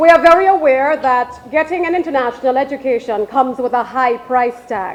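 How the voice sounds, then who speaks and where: Over noticeable background noise, a woman talks loudly at a fairly quick pace in a high pitch, with ordinary pitch variation and hardly any pauses. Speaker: media relations specialist. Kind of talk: ceremony speech. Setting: ceremony with PA microphone.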